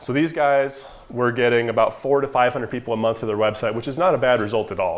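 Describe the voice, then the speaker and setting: Speaking at a very fast pace, a man uses a medium pitch and fairly even intonation. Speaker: marketing agency owner presenting to dentists. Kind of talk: conference presentation. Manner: casual, conversational.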